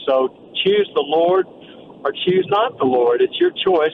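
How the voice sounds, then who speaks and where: Background noise is clearly noticeable. Through it, a man talks at a moderate speed. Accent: American. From Texas. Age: 70s. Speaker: businessman and ministry founder. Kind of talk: interview testimony.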